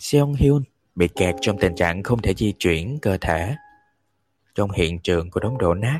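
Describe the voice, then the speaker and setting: A man's fairly low voice with lively intonation, fairly slow pace and long, frequent pauses, in a dry, close sound with no echo. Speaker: podcast host reading audiobooks. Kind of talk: live audiobook reading with chat. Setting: livestream. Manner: animated.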